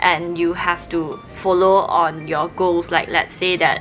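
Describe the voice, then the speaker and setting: A woman speaks at a fairly slow pace with a fairly low pitch. Music plays in the background. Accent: Malaysian. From Malaysia. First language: Mandarin Chinese. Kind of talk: casual talk to camera.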